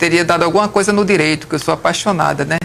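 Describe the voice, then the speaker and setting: Over noticeable background noise, a woman talks with a fairly low pitch. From Brazilian Northeast, Alagoas and Paraíba (Campina Grande). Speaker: civil engineer. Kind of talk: interview.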